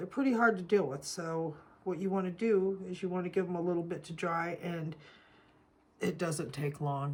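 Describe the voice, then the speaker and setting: A woman's fairly low-pitched, unremarkable speaking voice at a moderate pace, with ordinary pitch variation. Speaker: soap-making craft youtuber. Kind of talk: tutorial. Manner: casual, chatty.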